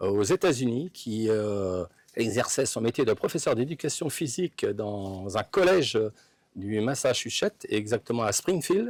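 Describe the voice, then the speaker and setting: Very wide pitch swings mark a man's medium-pitched voice at a fairly slow pace. The recording is very clean, with a silent background. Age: 60s. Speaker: sports fan. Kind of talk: interview. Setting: outdoors. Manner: halting. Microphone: distorted, clipping audio.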